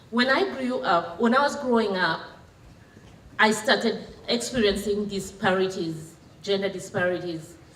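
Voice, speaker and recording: A woman with a medium pitch talks at a moderate pace with ordinary pitch variation and long, frequent pauses, amid audible room echo and noticeable background noise. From Kenya. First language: Kenyan local language. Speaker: women's rights advocate. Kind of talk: public talk. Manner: halting.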